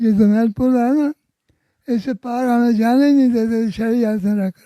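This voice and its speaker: This man's voice sits at an extremely high pitch, with a dark, mellow tone and ordinary pitch variation. The sound is dry and close, with no echo. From Kashmir. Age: 80s+. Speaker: eyewitness of independence era. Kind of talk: interview answer.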